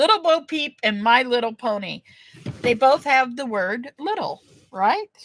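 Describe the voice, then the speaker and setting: A woman talks at a fairly slow pace in a high pitch, animated and with lively intonation. The recording is dry and close with no echo. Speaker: online auction seller. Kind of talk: live-stream sales auction. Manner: chatty, animated.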